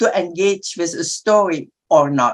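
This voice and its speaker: A woman speaks with an Indonesian accent at a very slow pace. The sound is dry and close with no echo. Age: 80s+. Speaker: publisher. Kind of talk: panel discussion.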